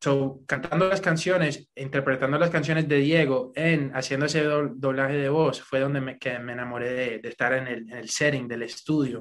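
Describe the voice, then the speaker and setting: Hardly pausing at all, a man talks at a moderate pace with a fairly high pitch. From US, New York. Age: 20s. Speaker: singer. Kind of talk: interview. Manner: code-switching Spanish and English.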